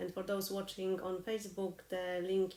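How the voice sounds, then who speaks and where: A woman with a non-native accent at a fairly slow pace. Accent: noticeable foreign. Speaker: harp teacher. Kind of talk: live online lesson. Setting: live stream. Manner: consciously slowing down.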